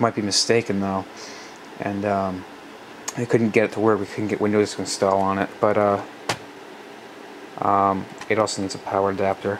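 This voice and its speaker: Fairly quick speech from a man, noticeable background noise underneath. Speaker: tech hobbyist vlogger. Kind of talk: casual video walkthrough. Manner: halting, many fillers.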